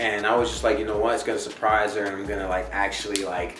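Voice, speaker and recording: A man with an American accent speaks at a fairly low pitch. Audible room echo and noticeable background noise are present. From New Jersey. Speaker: family vlogger, soldier. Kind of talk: casual chat.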